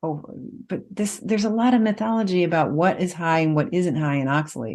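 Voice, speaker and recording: An unremarkable speaking voice, this woman with an American accent talks at a fairly quick pace and fairly low pitch, with lively intonation. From US. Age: 50s. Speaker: nutritionist and author. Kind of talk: podcast interview.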